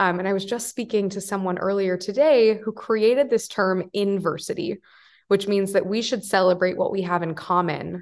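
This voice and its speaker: Her pitch medium, a woman with an American accent speaks with fairly even intonation over a quiet background. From US Midwest (Wichita, Kansas). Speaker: founder and CEO of educational platform. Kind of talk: casual chat.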